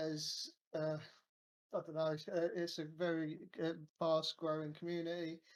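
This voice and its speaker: The speaker has a southern English accent. The pace is moderate. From England, Kent. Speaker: crypto project team member. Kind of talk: casual interview. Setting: video call. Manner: halting.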